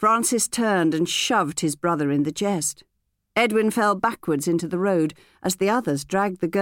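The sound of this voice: Someone reads in an unforced reading voice against a quiet background.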